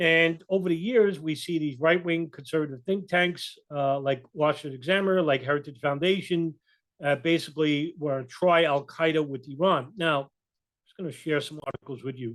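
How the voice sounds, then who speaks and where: With a New York accent, a man speaks at a moderate pace in a fairly high voice, his pitch varying in an ordinary way while his loudness swings widely. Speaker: political commentator, video blogger. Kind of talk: casual commentary with reading of articles. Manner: halting, many fillers.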